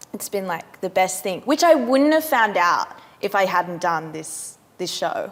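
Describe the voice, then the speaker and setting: The voice moves at a fairly slow pace with very wide pitch swings. Noticeable background noise is present. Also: woman, medium pitch for a woman. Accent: Australian. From Western Australia. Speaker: actor. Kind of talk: casual chat.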